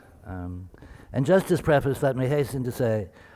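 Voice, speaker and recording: A man with an American accent mumbles at a moderate pace, his medium-pitched voice dark and mellow in tone. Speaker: museum curator. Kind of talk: lecture. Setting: symposium with audience. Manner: mumbling.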